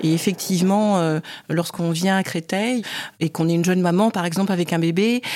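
Her voice sits fairly low as this woman talks at a moderate pace. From Cameroon. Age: 40s. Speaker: church leader and HR director. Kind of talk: interview testimony.

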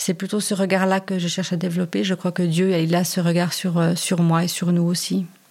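This woman talks at a moderate pace with hardly any pauses, her pitch fairly low. Her intonation is monotone and flat, and her loudness stays very even. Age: 40s. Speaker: volunteer with migrants. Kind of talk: interview.

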